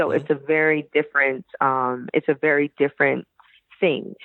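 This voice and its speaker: A woman's very deep, low voice in a New York accent. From Brooklyn, New York. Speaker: chef and former teacher. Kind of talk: interview answer.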